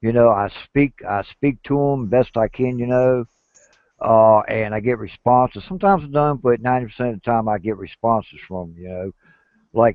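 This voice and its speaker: Using a plain, everyday voice, a man talks at a fairly quick pace with medium pitch and ordinary pitch variation. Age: 50s. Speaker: bigfoot researcher. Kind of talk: casual chat. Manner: rambling with many fillers.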